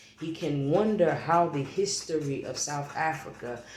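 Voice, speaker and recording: Music sits in the background while the speech unfolds at a very slow pace. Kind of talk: reading aloud; casual monologue. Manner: halting.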